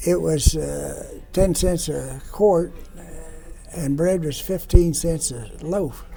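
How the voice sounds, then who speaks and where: Audible room echo surrounds a man speaking at a very slow pace, with big swings in loudness. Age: 90s. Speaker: World War II veteran. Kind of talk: casual interview. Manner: halting.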